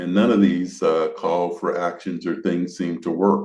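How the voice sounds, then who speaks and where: Very deep, low male voice with vocal fry at a moderate pace. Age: 70s. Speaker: podcast host, former park service official. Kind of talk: interview conversation. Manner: hesitant, many fillers.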